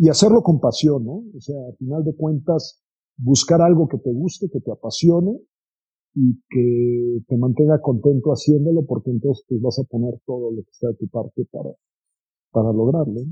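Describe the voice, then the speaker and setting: The voice is somewhat breathy, with a dark, mellow tone. Its loudness swings widely. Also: man, medium pitch for a man, ordinary pitch variation, moderate pace. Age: 50s. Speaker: business investor. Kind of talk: interview.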